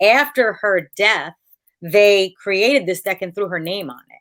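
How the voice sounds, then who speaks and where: A woman speaks at a fairly slow pace in a medium pitch, with an ordinary speaking voice. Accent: American. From United States. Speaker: tarot card reader. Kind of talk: casual interview chat. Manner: many filler words (um, uh).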